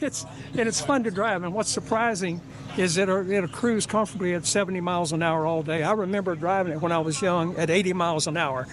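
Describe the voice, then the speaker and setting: Delivered at a very fast pace, the speech keeps a very even loudness and ordinary pitch variation, with noticeable background noise behind it. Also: man, high pitch for a man. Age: 80s+. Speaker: classic car owner. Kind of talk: casual interview.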